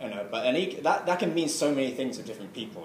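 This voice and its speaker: The speech is mumbled and carries audible room echo. Noticeable background noise runs underneath. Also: man. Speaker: tarot reader. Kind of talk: lecture. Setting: talk to a study group. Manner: mumbling; halting.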